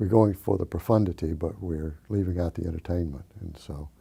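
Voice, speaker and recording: A somewhat breathy voice with an American accent, a dark, mellow tone, a fairly quick pace and fairly even intonation. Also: man. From US South, Georgia. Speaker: poet and novelist. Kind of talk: interview. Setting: library.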